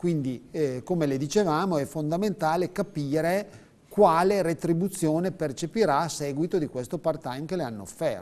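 The speaker keeps a moderate pace. Pitch variation is ordinary. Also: man, fairly high pitch for a man. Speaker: pension adviser. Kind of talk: explanatory advice on live TV. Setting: TV studio. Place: studio. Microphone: lapel.

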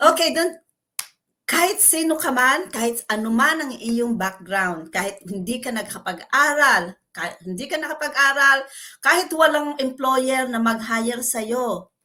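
Speaking at a fairly slow pace, a woman uses a raised, projected voice at a high pitch with lively intonation. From Philippines. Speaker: caregiver and online business owner. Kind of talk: interview testimony.

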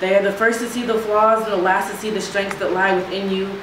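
A woman speaks at a fairly quick pace with monotone, flat intonation, amid audible room echo and noticeable background noise. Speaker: spoken word poet. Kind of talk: poetry performance. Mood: earnest, reflective. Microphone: camera far.

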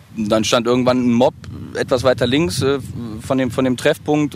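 A man talks at a very fast pace with ordinary pitch variation. The sound is dry with no echo, over light background noise. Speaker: rapper. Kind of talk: casual interview. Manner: normally louder and more lively. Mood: relaxed, casual. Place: waterside. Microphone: handheld.

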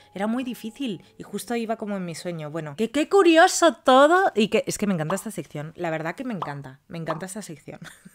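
At a very fast pace with hardly any pauses, a woman speaks in an animated tone at medium pitch, with very wide pitch swings and big swings in loudness. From Spain. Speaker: youtuber telling follower stories. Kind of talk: reading aloud listener stories with comments. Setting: at home. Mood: animated, expressive. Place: home room.

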